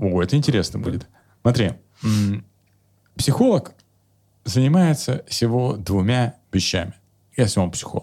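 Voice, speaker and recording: A man at medium pitch with an animated tone and lively intonation, moving at a moderate pace with long, frequent pauses. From Kemerovo, Siberia, Russia. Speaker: psychologist and comedian. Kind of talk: casual chat with jokes and swearing. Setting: video podcast. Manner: animated, humorous, joking.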